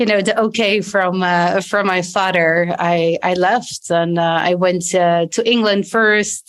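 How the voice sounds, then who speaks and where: A woman's medium-pitched, monotone voice with flat intonation at a fairly slow pace. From Belgium. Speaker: executive leadership coach. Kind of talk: interview.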